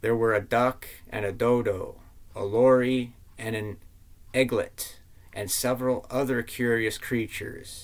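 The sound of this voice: The delivery is an unforced reading voice. Its intonation stays fairly even.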